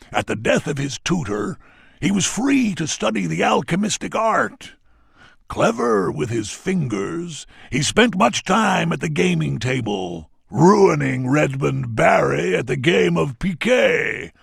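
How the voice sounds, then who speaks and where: A man puts on a character voice at medium pitch and a fairly slow pace. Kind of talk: ceremonial roll-call narration. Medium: video game. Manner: dramatic, relishing.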